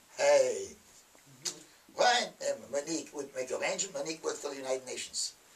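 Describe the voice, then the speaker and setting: A man talks at a fairly quick pace with long, frequent pauses amid noticeable background noise. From France. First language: French. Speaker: army veteran. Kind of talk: storytelling interview. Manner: halting; animated.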